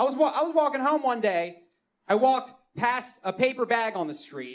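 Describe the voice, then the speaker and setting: A man speaks with a Baltimore accent at a moderate pace. His pitch is extremely high. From Baltimore, Maryland. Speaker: comedian. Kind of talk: stand-up. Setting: stage with audience.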